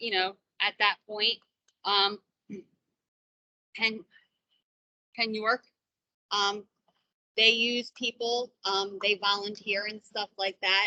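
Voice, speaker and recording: A loud woman with a medium pitch and a bright, sharp tone speaks very slowly in a flat monotone, with long, frequent pauses, the sound dry and close with no echo. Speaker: business owner. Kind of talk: casual chat. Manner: loud, projecting normally; halting with many fillers. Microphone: too quiet, hard to hear.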